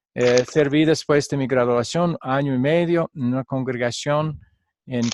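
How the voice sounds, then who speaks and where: Recorded dry and close with no echo, a man speaks fairly slowly with ordinary pitch variation. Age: 60s. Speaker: pastor and Bible teacher. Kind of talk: online class lecture. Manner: halting, with frequent fillers.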